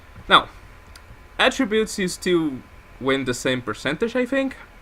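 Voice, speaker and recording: A man with a non-native accent speaks at a fairly slow pace. His pitch is high and swings very widely. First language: not English. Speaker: gaming YouTuber. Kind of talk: gameplay commentary. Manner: casual, rambling with self-corrections.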